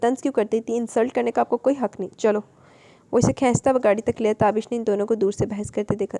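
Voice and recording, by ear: Reading aloud in a natural voice is what the clip holds.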